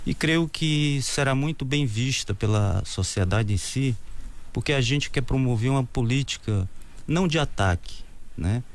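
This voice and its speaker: A man's normal speaking voice, medium in pitch, with lively intonation, very even loudness and a fairly slow pace. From Brazil, Ceará (Crateús). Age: 50s. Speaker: mayoral candidate. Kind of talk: interview.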